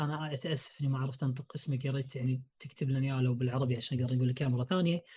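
The somewhat breathy voice has a dark, mellow tone, recorded very cleanly against a silent background. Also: man. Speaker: podcast host. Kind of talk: casual chat about video games.

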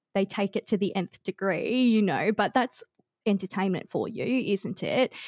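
A fairly slow Australian accent with ordinary pitch variation, in a dry, close sound with no echo. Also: woman. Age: 30s. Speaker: streamer and content creator. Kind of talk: casual chat. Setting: remote podcast studio.

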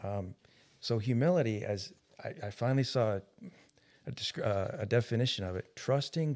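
On a very clean recording with a silent background, a man speaks at a moderate pace in a plain, everyday voice. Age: 50s. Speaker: podcast co-host. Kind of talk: casual religious discussion.

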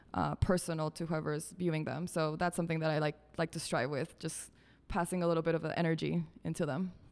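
A woman's very deep, low voice with vocal fry, monotone and flat, at a very fast pace on a very clean recording with a silent background. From Ecuador (Quito), born in Colombia. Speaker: visual artist and art educator. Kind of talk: interview, casual chat.

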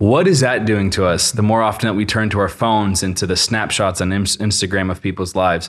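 The pace stays moderate throughout. It is a normal speaking voice. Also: man. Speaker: podcast host. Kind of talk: casual interview chat. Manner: casual, friendly.

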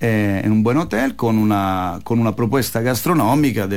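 In a Roman Italian accent, the voice moves at a moderate pace with ordinary pitch variation. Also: man. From Italy, Rome. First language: Italian (speaking Spanish). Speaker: Italian restaurant owner. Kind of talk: radio interview. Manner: halting, mixes Italian into Spanish.

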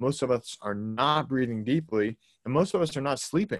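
At a fairly quick pace, a man with an American accent uses an ordinary speaking voice and ordinary pitch variation on a very clean recording with a silent background. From Boston, Massachusetts. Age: 20s. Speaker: holistic health coach. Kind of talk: casual interview.

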